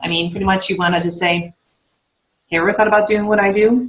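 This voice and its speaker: A woman with a medium-pitched voice speaks at a very fast pace. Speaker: fitness coach and team leader. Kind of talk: team training call. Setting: conference call.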